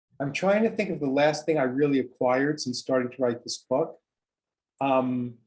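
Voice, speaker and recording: A man's fairly high voice at a moderate pace, with ordinary pitch variation and an unremarkable speaking voice. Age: 60s. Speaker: writer and performer. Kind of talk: interview. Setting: video call.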